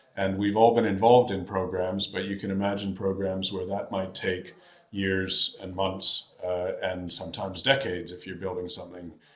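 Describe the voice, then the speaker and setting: A man's very deep, low voice, monotone and flat, with big swings in loudness, hardly any pauses, and audible room echo. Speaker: management consultant presenting a webinar. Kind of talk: webinar presentation. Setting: online webinar. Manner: fast.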